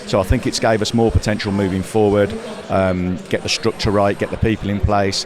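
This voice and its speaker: Against noticeable background noise, a man with a Midlands accent speaks fairly quickly in a fairly low, monotone, flat delivery. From English Midlands. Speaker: industry trade association representative. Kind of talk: casual interview at trade show. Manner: hesitant, many fillers.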